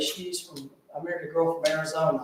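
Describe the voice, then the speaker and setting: A man with a Southern US accent speaks in a high pitch with fairly even intonation. Audible room echo and noticeable background noise are present. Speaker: political candidate. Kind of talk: campaign speech. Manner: soft-spoken.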